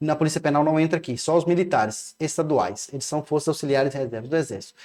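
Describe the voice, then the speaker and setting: A man talks at a very fast pace in a fairly high voice. His pitch moves in an ordinary way. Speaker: law teacher for civil service exams. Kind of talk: online exam-prep lecture.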